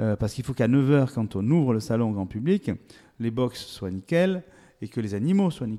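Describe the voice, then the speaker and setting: A man's medium-pitched, dark, mellow voice with lively intonation at a moderate pace. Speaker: agricultural show organizer and local politician. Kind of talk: interview. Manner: hesitant, repeats words.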